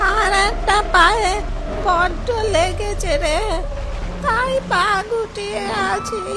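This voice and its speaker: A cartoonish character voice at a very slow pace, over loud music in the background. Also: female-sounding voice, extremely high pitch for a woman. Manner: sweet, coaxing old-woman voice.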